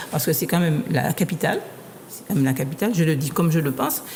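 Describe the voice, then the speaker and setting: A woman's fairly low-pitched voice with lively intonation, against noticeable background noise. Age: 60s. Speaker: association activist. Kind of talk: panel discussion. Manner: halting, many repetitions.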